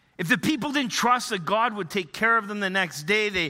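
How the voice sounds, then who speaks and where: A man with a Canadian accent speaks in a raised, projected voice with a bright, sharp tone. The recording is very clean, with a silent background. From Northern Ontario, Canada. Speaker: pastor. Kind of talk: sermon. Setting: church. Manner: hesitant, many fillers.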